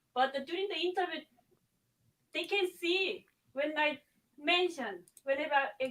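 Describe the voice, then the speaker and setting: Her voice is high-pitched, with a bright, sharp tone. The woman speaks at a fairly slow pace. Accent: non-native. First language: not English. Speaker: nurse. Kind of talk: casual chat. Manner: halting.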